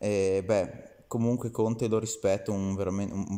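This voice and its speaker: This voice has a dark, mellow tone and a flat, monotone delivery. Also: man, quiet background. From Italy. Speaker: video commentator. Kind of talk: angry rant, scornful political commentary aimed at Salvini. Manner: indignant, sarcastic, scolding, addressing Salvini directly. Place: home room. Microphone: phone near.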